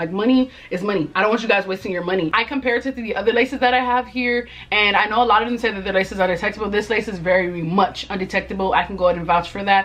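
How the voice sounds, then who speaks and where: Noticeable background noise sits behind a woman with an animated tone. She talks at a very fast pace. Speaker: beauty vlogger. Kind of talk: product review.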